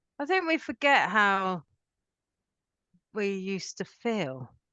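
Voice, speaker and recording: In a southern English accent, a woman at medium pitch talks in a bright, sharp tone with very wide pitch swings and long, frequent pauses, her sound dry and close with no echo. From England, Cambridge. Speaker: guest in recovery from alcohol. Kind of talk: casual chat.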